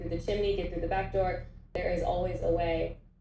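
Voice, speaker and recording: Someone with an American accent is heard with audible room echo and noticeable background noise. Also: woman. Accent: very American. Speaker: venture capital investor. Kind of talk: mentorship talk.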